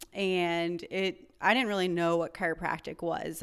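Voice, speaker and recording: A woman speaks in an American accent with a fairly low pitch and flat, monotone intonation. The recording is very clean, with a silent background. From North Carolina. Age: young. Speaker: chiropractor. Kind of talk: interview conversation.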